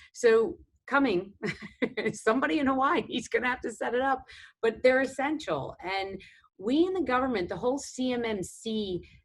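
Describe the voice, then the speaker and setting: A woman's high voice in a New York accent, with lively intonation at a moderate pace. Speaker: government defense official. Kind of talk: panel discussion. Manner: hesitant, many fillers.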